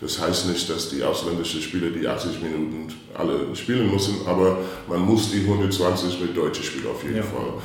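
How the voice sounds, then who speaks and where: Amid noticeable background noise and audible room echo, a man speaks in a very deep, low voice. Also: ordinary pitch variation, moderate pace. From US Midwest, St. Louis, Missouri. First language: English (speaking German). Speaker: basketball coach. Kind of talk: interview. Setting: reverberant room. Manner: halting.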